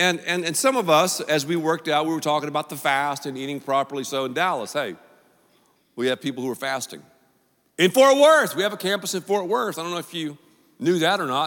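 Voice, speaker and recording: In a plain, everyday voice, a man talks at a fairly quick pace with fairly high pitch and lively intonation on a very clean recording with a silent background. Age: 50s. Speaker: pastor. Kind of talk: sermon.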